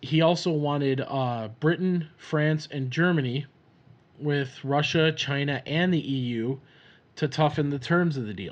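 A man speaks at a fairly slow pace in a fairly high pitch. The background is quiet. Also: ordinary pitch variation. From Minnesota, US Upper Midwest. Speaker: podcast host, farmer. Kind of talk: casual solo podcast monologue, personal storytelling. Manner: casual, rambling, with filler words and laughs.

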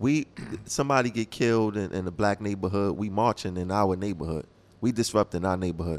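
This man has an ordinary speaking voice, fairly low in pitch, and talks at a fairly quick pace in an American accent. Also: ordinary pitch variation. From Brooklyn, New York. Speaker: radio host. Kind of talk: casual chat. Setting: studio.

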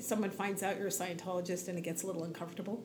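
A woman speaks with an American accent. Her voice carries audible room echo. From New York (Queens and Long Island). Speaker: blogger and religious community volunteer. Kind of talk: interview conversation. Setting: small room, closet-like space.

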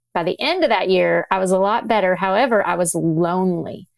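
At a moderate pace and medium pitch, a woman speaks in an unremarkable speaking voice. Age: 40s. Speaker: physician and author. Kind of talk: interview conversation.

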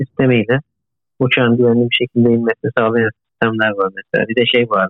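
A man talks at a fairly quick pace with a medium pitch and monotone, flat intonation. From Turkey, Izmir. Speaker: postdoctoral researcher, engineer. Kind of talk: interview.

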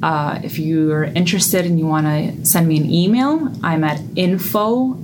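A woman's fairly low-pitched voice with lively intonation and audible room echo. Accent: New York. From US Northeast, the Bronx, New York. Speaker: personal finance coach. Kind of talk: interview.

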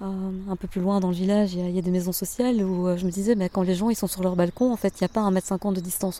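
A woman's medium-pitched voice, dark and mellow in tone, with fairly even intonation at a very fast pace. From Belgium, Hainaut (Bernissart). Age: 40s. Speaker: former political press officer. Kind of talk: interview. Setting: outdoors in a garden.

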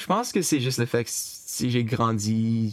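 A man talks at a very slow pace and medium pitch. His intonation stays fairly even. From Brockville, Eastern Ontario, Canada. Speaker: interviewee, family member. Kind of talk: interview.

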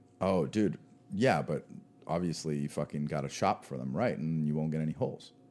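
This man's voice is very deep and low, with ordinary pitch variation and a fairly quick pace. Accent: American. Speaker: podcast co-host. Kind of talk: casual chat. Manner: animated.

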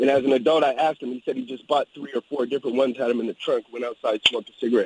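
The recording is dry and close with no echo, capturing a man at medium pitch. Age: 40s. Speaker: caller. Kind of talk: radio call-in.

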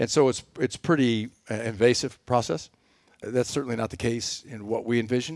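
This man talks with a Texan accent at a medium pitch. His pace is moderate. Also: ordinary pitch variation. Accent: Texan, Southern US. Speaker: energy company president. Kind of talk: interview. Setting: studio.

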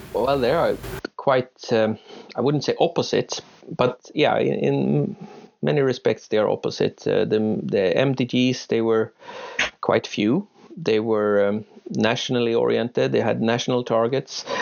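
A man with a Swedish accent speaks at a fairly slow pace and very even loudness. Noticeable background noise runs under his voice. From Uppsala, Sweden. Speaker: professor. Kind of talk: panel discussion. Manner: hesitant.

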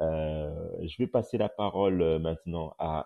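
This man's voice is very deep and low. The pitch rises and falls normally. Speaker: journalist and podcast host. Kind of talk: casual chat. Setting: audio app live room.

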